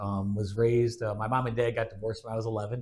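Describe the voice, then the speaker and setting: With a Midwestern American accent, a man speaks at a very fast pace and a medium pitch. His intonation is monotone and flat, in a very clean recording with a silent background. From US Midwest, Aurora, Illinois. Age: 40s. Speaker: father, podcast guest. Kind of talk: casual chat.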